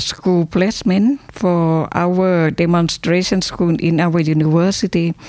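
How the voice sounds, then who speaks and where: The speech comes at a very slow pace with very even loudness and fairly even intonation, over noticeable background noise. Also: woman. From Thailand. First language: Thai (speaking German). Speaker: university academic. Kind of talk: interview. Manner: halting.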